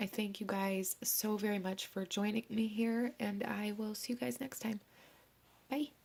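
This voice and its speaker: A woman's somewhat breathy voice, fairly high in pitch, with ordinary pitch variation at a moderate pace. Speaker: tarot reader. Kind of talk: tarot reading.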